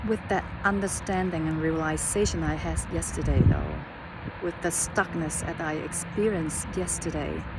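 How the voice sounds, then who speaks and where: A woman talks with a non-native accent. The room echo is audible and background noise is noticeable. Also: moderate pace. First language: not English. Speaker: life coach. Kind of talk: casual vlog monologue. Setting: outdoors on a hiking trail. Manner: halting, with fillers and repetitions.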